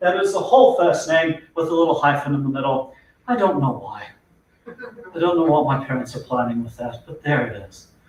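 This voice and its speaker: Speaking fairly quickly in a South African accent, a man swings his pitch very widely. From South Africa, Durban. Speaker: neuroscience-based corporate trainer. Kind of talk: business presentation / webinar talk. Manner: conversational, humorous.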